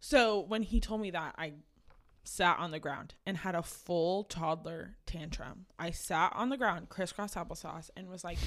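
With an American accent, a woman speaks at a fairly low pitch with ordinary pitch variation and big swings in loudness. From Oklahoma, Tulsa. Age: 20s. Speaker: content creator. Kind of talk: casual chat. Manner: animated.

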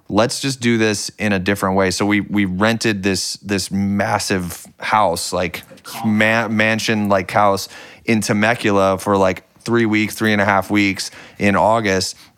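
A man at a moderate pace, fairly low in pitch, with fairly even intonation. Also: very even loudness. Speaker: music producer. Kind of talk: casual interview chat. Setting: in a house in California.

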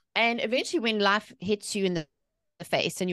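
A woman with a South African accent at a very fast pace and medium pitch, dry and close with no echo, over a quiet background. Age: 40s. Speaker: author and mindset coach. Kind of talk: podcast interview.

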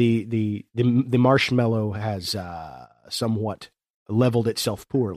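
A man's plain, everyday voice with an American accent, medium pitch, ordinary pitch variation and a fairly slow pace. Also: dry, close sound with no echo. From southern Ohio, Appalachian foothills. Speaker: podcast host. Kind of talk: casual chat. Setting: studio.

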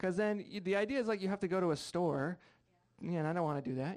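An American accent shapes this speech. The voice belongs to a man. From Rhode Island, US. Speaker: stand-up comedian. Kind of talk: stand-up comedy set with crude, bawdy storytelling. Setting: stage with audience. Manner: animated, punchy storyteller; brash, self-mocking, conversational.

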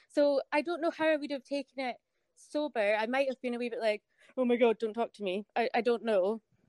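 A woman with a Scottish accent speaks at a fairly quick pace in a high voice, with ordinary pitch variation and a dry, close sound that has no echo. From Scotland. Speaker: foot model. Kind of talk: casual chat. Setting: video call.

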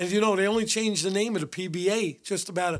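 This speaker talks at a very fast pace with a New York accent. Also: man. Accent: New York (Bronx). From New York City, the Bronx. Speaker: retired police detective. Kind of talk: interview, storytelling.

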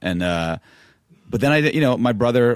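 Speech in an American accent comes at a very fast pace, in a very clean recording with a silent background and a dry, close sound with no echo. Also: man. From New York, Manhattan. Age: 30s. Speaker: hip hop producer. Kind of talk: casual chat.

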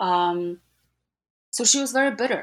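Speaking at a moderate pace with a Polish accent, a woman is heard on a very clean recording with a silent background. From Gdańsk, Poland. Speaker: historian, author. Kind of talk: interview, academic discussion.

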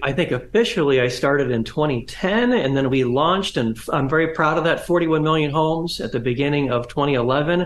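A man with a US Midwestern accent, at a moderate pace, with ordinary pitch variation and hardly any pauses. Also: fairly high pitch for a man. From Northwest Ohio, US Midwest. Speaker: history professor and author. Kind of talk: interview. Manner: halting, many fillers and restarts.

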